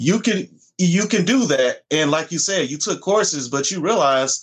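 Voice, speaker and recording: Lively intonation comes through against a quiet background. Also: man. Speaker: podcast host. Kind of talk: casual interview chat.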